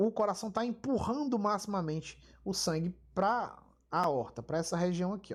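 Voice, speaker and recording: Speech unfolds fairly slowly. The recording is very clean, and the background is silent. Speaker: physiology lecturer. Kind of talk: lecture.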